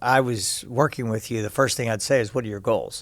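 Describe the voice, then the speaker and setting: A man with an American accent and an ordinary speaking voice, at medium pitch with fairly even intonation. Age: 60s. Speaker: fitness coach. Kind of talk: interview.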